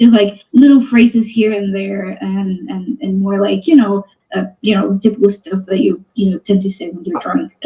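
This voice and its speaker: A woman's medium pitch and dark, mellow tone, somewhat breathy, at a moderate pace with hardly any pauses, ordinary pitch variation and big swings in loudness. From Venezuela. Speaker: subscriber sharing their life story. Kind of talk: casual interview chat. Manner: hesitant, many fillers.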